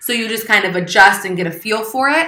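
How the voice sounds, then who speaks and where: Lively intonation and a fairly quick pace mark a woman's speech, heard with audible room echo and noticeable background noise. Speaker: online English teacher. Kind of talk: tutorial. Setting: home with children around. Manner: fast.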